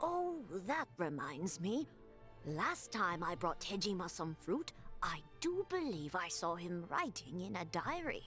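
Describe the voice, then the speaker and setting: Over clear background music, a female-sounding, put-on character voice speaks at a fairly slow pace. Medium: video game. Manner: polite, formal.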